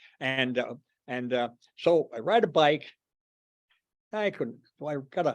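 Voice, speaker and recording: A man's fairly high voice at a fairly slow pace with very wide pitch swings, on a very clean recording with a silent background. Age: 80s+. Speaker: club founding member. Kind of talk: after-dinner talk to club. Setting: meeting room with audience. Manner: halting, many fillers.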